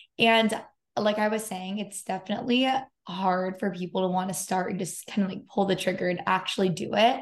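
In a plain, everyday voice with an American accent, the speaker talks at a fairly quick pace with fairly even intonation. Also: woman, medium pitch for a woman. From US West Coast, San Diego. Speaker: podcast host. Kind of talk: casual chat.

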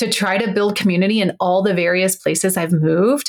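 A woman with an ordinary speaking voice, medium pitch, ordinary pitch variation and moderate pace. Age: 40s. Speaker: therapist and podcast host. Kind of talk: casual chat.

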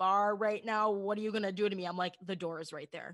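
A woman talks with fairly even intonation at a medium pitch, in a normal speaking voice. The recording is very clean, with a silent background. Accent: American. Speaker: broadcaster and bartender. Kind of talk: casual interview chat.

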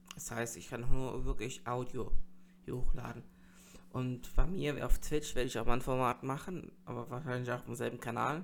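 Here a man speaks at medium pitch with ordinary pitch variation. His loudness swings widely. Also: moderate pace. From North Rhine-Westphalia, Germany. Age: 30s. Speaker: streamer and podcaster. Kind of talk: solo podcast monologue. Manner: hesitant, many fillers.

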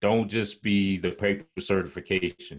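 A man with an American accent speaks at a moderate pace over a quiet background. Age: 40s. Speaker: cybersecurity analyst and army veteran. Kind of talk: interview. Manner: halting, many fillers.

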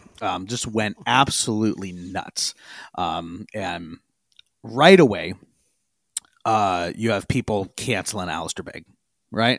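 Over a very clean recording with a silent background, a man speaks at a very slow pace with long, frequent pauses, ordinary pitch variation and big swings in loudness. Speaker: podcast host. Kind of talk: casual podcast discussion.

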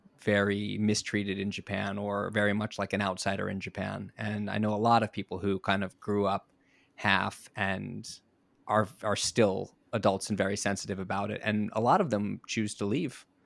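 A man with an American accent speaks at a moderate pace in a fairly low pitch, using a normal speaking voice. The recording is very clean, with a silent background. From US South Florida. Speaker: TV personality. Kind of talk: interview.

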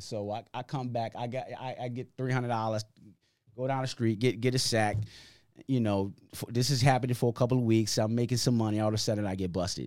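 Here a man has an ordinary speaking voice at a medium pitch, with fairly even intonation and a fairly quick pace. The recording is very clean, with a silent background. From Hartford, Connecticut, US. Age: 40s. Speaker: community basketball league founder. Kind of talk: casual interview. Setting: podcast studio.

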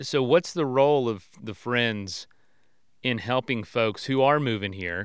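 A man with an American accent talks in an ordinary speaking voice at medium pitch, with lively intonation. The recording is very clean, with a silent background. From Florida. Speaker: podcast host. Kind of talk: casual interview. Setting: outdoors at a picnic table.

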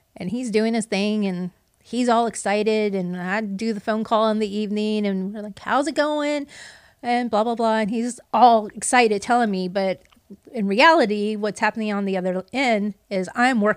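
A woman's fairly high voice, an unremarkable speaking voice, with ordinary pitch variation at a moderate pace over a very clean recording and a silent background. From Puerto Rican heritage, US. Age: 50s. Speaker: best-selling author and entrepreneur. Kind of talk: casual interview.

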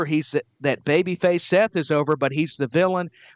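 The delivery is enthusiastic and upbeat, with ordinary pitch variation. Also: man. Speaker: wrestling podcast co-host. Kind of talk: casual chat, wrestling show review. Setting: remote recording, across the pond. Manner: enthusiastic, upbeat.

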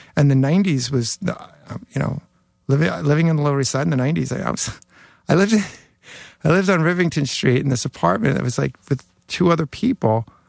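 With a New York accent, a man talks at a fairly quick pace in a fairly high voice with lively intonation, leaving long, frequent pauses, all in a dry, close sound with no echo. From New York City (Queens). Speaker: hardcore bassist. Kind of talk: casual chat.

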